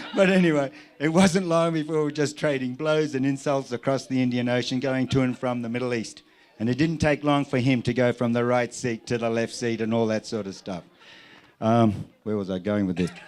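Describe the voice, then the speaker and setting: This man speaks with a medium pitch and ordinary pitch variation. His pace is fairly quick. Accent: Australian. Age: 60s. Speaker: airline pilot. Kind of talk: wedding speech. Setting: wedding reception with audience. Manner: animated.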